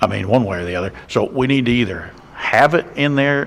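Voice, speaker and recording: Speaking at a moderate pace, a man with a Georgia accent uses ordinary pitch variation. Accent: Georgia Southern US. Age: 60s. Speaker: county commissioner. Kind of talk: public meeting discussion. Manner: halting.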